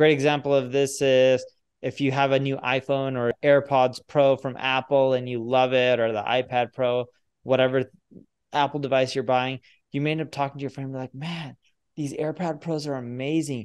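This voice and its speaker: Against a quiet background, a man talks at a moderate pace in a monotone, flat intonation. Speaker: podcast guest. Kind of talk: interview answer. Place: home room. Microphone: video call.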